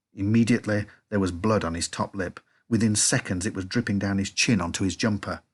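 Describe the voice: Someone is doing plain reading aloud here.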